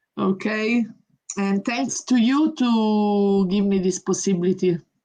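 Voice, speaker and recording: A woman with an Italian accent speaks at a fairly slow pace, her dark, mellow tone somewhat breathy. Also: medium pitch for a woman, ordinary pitch variation. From Italy. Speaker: professional boxer. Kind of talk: interview.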